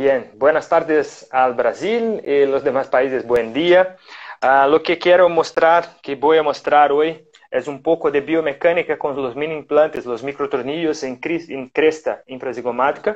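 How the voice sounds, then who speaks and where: Speaking with a Portuguese accent, a man uses a fairly high pitch, ordinary pitch variation and a fairly slow pace. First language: Portuguese (speaking Spanish). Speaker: orthodontics professor. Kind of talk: lecture. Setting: live stream. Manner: halting.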